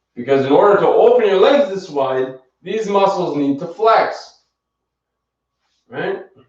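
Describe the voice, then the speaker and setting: A man talks in a calm tone at a fairly slow pace, with very wide pitch swings. Audible room echo surrounds the voice. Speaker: fitness instructor. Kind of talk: live exercise class instruction. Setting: livestream. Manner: encouraging, calm pacing; soft-spoken.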